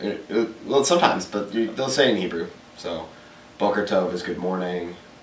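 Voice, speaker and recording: With noticeable background noise and audible room echo, a man with an American accent speaks at a moderate pace, fairly low in pitch with ordinary pitch variation. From Texas, Dallas. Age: 20s. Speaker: college student. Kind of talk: interview. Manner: halting.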